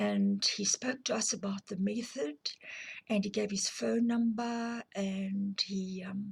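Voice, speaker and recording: Somewhat breathy and very slow, the voice carries a South African accent and fairly even intonation, with a dry, close sound and no echo. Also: woman, medium pitch for a woman. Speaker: abuse survivor and counselling advocate. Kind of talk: personal testimony to camera. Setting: filmed on camera. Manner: hesitant, with fillers.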